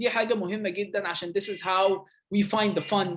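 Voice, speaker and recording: With a quiet background, a man is talking. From Egypt. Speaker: game designer. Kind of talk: lecture.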